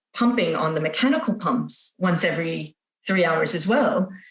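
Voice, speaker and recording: Somewhat breathy, a woman talks in an American accent. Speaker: parent sharing feeding experience. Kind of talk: podcast interview.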